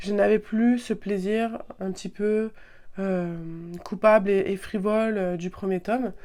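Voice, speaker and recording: A woman speaks at a very slow pace in a medium pitch, her dark, mellow tone held in a monotone, flat intonation. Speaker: book youtuber. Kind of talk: casual book review vlog. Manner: halting, many fillers and repetitions.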